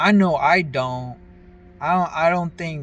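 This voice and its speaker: A man talks at a moderate pace and a fairly high pitch, with noticeable background noise. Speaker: vlogger. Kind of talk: casual monologue. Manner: halting, stumbling over words.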